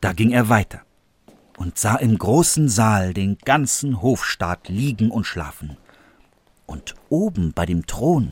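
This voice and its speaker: Somewhat breathy and very slow, the voice makes very wide pitch swings, with long, frequent pauses, in a dry, close sound with no echo. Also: man. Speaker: actor reading fairy tale. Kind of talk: dramatic fairy-tale narration, read aloud with character voices. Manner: animated, expressive, varying pitch and pace for suspense and characters.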